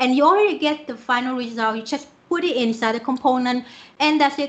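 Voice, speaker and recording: A woman speaks with a Vietnamese accent. Her voice is high-pitched. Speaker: software developer; conference speaker. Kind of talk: conference talk. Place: home room. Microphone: webcam.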